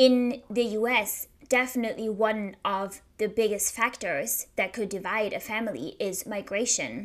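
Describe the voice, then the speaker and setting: The recording is very clean, with a silent background, as a woman speaks at a fairly slow pace with hardly any pauses. Her pitch is fairly high and her intonation fairly even. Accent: German. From Germany. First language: German. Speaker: podcast host. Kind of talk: solo podcast monologue.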